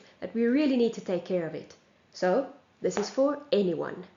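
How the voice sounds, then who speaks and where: With lively intonation and a South African accent, a woman speaks amid audible room echo. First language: Afrikaans. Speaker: singing teacher. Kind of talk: lecture.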